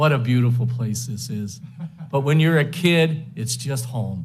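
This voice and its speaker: A man's somewhat breathy voice in an American accent, at a moderate pace, with audible room echo. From Western New York (Lakewood). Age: 70s. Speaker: hall of fame inductee, former runner and coach. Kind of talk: acceptance speech. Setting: banquet hall with audience. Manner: halting, many fillers.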